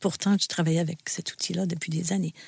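A woman's fairly low, somewhat breathy voice has a dark, mellow tone and fairly even intonation. The sound is dry and close, with no echo. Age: 60s. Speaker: host's mother, burnout survivor. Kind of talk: personal testimony.

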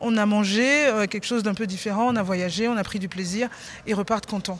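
A woman's plain, everyday voice, with ordinary pitch variation and a moderate pace. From Benin. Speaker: chef. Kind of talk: interview. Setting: backstage at an awards ceremony.

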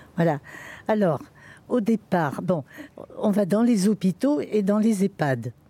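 A woman speaks at a very slow pace, her pitch swinging very widely while her loudness stays very even. Her tone is dark and mellow, somewhat breathy, with long, frequent pauses. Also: medium pitch for a woman, dry, close sound with no echo. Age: 80s+. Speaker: hospital visiting volunteer. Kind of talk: testimony.

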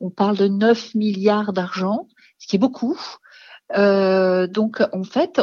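A woman speaks at a fairly slow pace, her fairly high voice somewhat breathy. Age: 50s. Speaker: founder of a mountain resilience organization. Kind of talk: radio interview.

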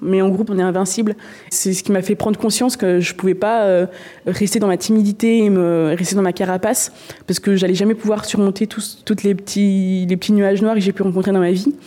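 This is an unremarkable speaking voice with fairly even intonation. It moves at a fairly quick pace. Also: woman. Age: 20s. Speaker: paralympic canoeist. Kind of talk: interview.

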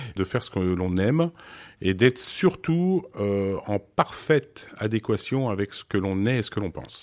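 On a very clean recording with a silent background and a dry, close sound with no echo, a man speaks at a fairly low pitch and a fairly slow pace with lively intonation. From Switzerland, then France from age 8-9. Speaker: photographer. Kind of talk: interview. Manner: hesitant with fillers.

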